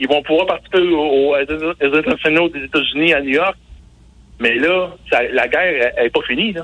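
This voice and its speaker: This man's voice sits fairly high, with pitch that varies in an ordinary way, and he keeps a moderate pace. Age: 40s. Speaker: sports journalist. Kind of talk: radio sports segment. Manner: halting.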